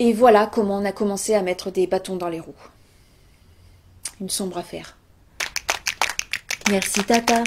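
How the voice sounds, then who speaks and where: Woman at medium pitch, moderate pace and fairly even intonation, with long, frequent pauses, big swings in loudness and noticeable background noise. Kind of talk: comedic storytelling chronicle on local radio. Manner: playful, mock-serious, storytelling.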